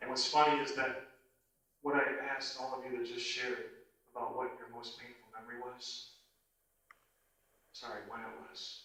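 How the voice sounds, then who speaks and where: Man with an American accent, medium pitch, flat monotone delivery, moderate pace, and long, frequent pauses. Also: big swings in loudness. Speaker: motivational speaker and anti-bullying assembly presenter. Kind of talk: motivational talk to a live audience. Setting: live church hall talk to an audience. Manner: conversational, sincere, audience-engaging.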